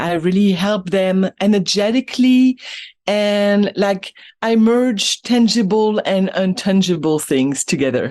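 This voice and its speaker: A woman with a French accent talks at a fairly slow pace and medium pitch, with ordinary pitch variation. Her loudness is very even, and the sound is dry and close with no echo. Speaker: business and energy coach. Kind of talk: podcast interview. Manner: halting.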